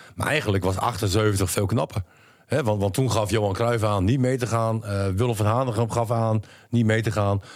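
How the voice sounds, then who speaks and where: An ordinary speaking voice moves at a moderate pace with fairly even intonation and very even loudness. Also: man, fairly low pitch for a man. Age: 50s. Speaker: podcast co-host. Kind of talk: casual chat.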